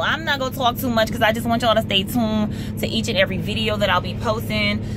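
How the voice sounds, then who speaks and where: A woman talks at a very fast pace. The sound is dry with no echo, and background noise is noticeable. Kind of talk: casual vlog chat. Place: car.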